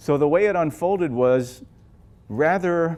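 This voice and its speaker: On a very clean recording with a silent background, a man speaks with lively intonation. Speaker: jazz guitarist. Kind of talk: Q&A after film screening. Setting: library event with audience. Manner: fast.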